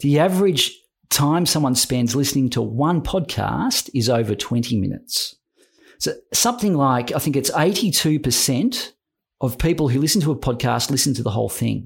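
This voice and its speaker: A man with an Australian accent, fairly high pitch and vocal fry. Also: lively intonation, moderate pace, very clean recording, silent background. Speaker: podcast producer.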